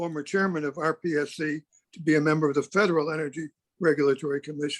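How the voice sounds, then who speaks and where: Dry and close with no echo, a man's fairly high voice runs at a very fast pace with fairly even intonation. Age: 80s+. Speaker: community member. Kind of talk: public meeting comment.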